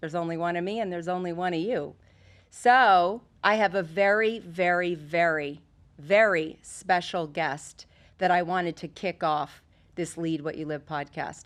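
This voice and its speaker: A woman with a normal speaking voice, fairly low in pitch, talks at a moderate pace with ordinary pitch variation in a very clean recording with a silent background. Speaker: podcast host. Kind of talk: podcast intro. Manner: upbeat.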